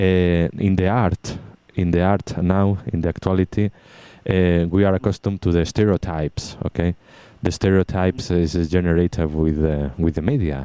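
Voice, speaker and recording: Talking at a moderate pace with a Spanish accent, a man uses a very deep, low, dark and mellow voice, fairly even intonation and very even loudness, recorded dry and close with no echo against a silent background on a very clean recording. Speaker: radio station technical support staff. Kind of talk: casual chat. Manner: halting.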